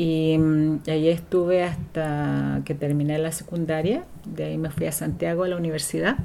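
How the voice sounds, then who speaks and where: A moderate pace with audible room echo. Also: woman. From southern Chile (Valdivia), raised partly in Valparaíso. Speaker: writer and educator, former political exile. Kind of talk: interview, personal life story. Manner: hesitant, many fillers.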